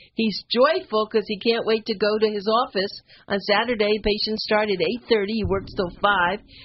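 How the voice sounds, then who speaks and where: A somewhat breathy voice at a moderate pace. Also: woman, fairly high pitch for a woman. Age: 70s. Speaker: radio host. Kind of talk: casual chat. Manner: animated.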